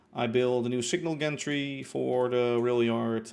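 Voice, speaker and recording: A Dutch accent with ordinary pitch variation. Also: man. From Netherlands. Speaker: livestreamer, Minecraft gamer. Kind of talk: casual live-stream chat.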